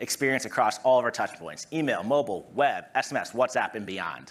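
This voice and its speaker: A man with a Massachusetts accent, fairly high pitch, lively intonation and a fairly quick pace. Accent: American, Massachusetts. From US, Massachusetts. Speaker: product marketing director. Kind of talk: conference presentation. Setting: stage with audience.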